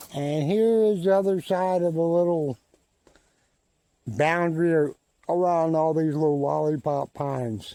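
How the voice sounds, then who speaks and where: A man with a rural Southern US accent and a dark, mellow tone speaks at a fairly slow pace with long, frequent pauses. His pitch is fairly high, with ordinary pitch variation. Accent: US South rural. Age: 70s. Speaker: vlogger. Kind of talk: casual narration while walking. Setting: outdoors in forest. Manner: slow, unhurried.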